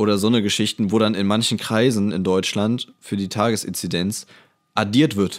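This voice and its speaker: A normal speaking voice from a man, fairly low in pitch, with fairly even intonation at a moderate pace. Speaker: computer science student. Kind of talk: casual chat.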